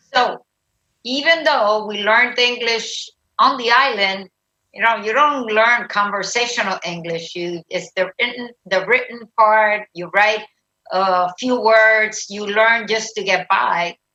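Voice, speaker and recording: A woman with a Spanish accent, fairly high pitch, ordinary pitch variation and a fairly slow pace. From Puerto Rico. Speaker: retired army general and nurse. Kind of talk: interview.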